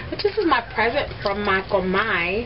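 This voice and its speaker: A woman's very wide pitch swings amid noticeable background noise. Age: 20s. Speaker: beauty vlogger and makeup artist. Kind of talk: makeup tutorial. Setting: at home in bedroom. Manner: fast; casual chatty. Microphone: old cheap camera.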